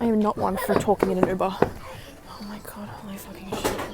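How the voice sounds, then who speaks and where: A woman with a fairly high pitch speaks over music in the background. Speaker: makeup artist vlogger. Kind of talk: vlog, casual talk to camera. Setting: in a store. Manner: casual, rambling with fillers.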